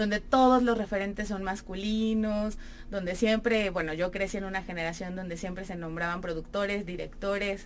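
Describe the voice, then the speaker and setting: A woman of medium pitch talks at a moderate pace with fairly even intonation. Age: 30s. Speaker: actress and theatre producer. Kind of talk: radio interview. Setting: radio studio.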